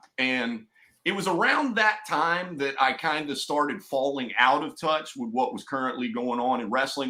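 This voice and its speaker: A man talks at a moderate pace in an East Tennessee accent, his tone bright and sharp. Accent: Southern (East Tennessee). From East Tennessee, US South. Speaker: hip hop artist, wrestling podcast co-host. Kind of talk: casual chat.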